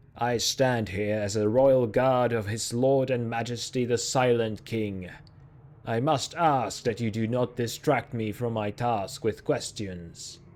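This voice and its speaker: Putting on a booming character voice, a man speaks at a medium pitch and a fairly slow pace with fairly even intonation. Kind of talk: archaic. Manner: formal, stern.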